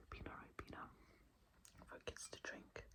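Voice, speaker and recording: The speaker, a woman, talks in a whisper. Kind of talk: ASMR whispered explanation of UK slang. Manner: whispered, soft-spoken.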